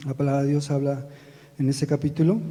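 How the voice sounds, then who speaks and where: Soft-spoken and somewhat breathy, a man with a dark, mellow tone talks at a moderate pace. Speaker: lay preacher and church drummer. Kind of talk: sermon. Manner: halting.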